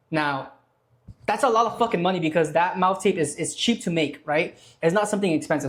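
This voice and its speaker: A man talking very fast, with ordinary pitch variation. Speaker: online business creator. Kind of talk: tutorial. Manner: casual.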